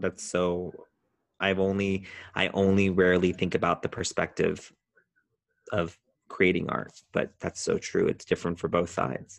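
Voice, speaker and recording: A man with an American accent speaks in a very deep, low voice at a moderate pace, his intonation flat and monotone, with long, frequent pauses against a quiet background. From Southern California (Orange County). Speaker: event producer and entrepreneur. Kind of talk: casual interview conversation.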